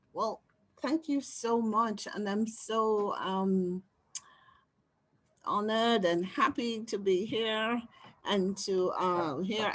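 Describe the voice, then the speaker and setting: Speaking with a Caribbean accent, a woman uses a medium pitch and ordinary pitch variation. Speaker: social worker and spiritual counselor. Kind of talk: live webinar Q&A, audience member sharing.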